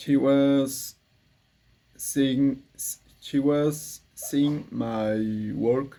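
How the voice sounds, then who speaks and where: With a Spanish accent and a dark, mellow tone, the speaker talks at a very slow pace with long, frequent pauses. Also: man, fairly high pitch for a man. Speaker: English learner vlogger. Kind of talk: practice monologue. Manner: halting.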